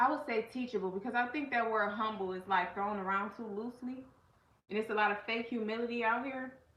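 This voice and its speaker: A woman talks fairly quickly at a fairly high pitch, her tone animated. Room echo is audible. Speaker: life coach and channel host. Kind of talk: casual livestream talk. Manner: loud.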